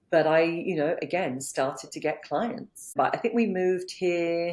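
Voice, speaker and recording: A woman's fairly low, dark, mellow voice with ordinary pitch variation. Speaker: business coach. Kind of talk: interview.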